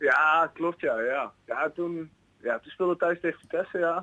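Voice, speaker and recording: The tone is bright and sharp as a high-pitched man talks at a fairly slow pace. The sound is dry and close, with no echo. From Kampen, Netherlands. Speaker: football player agent. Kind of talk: casual chat. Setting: phone call.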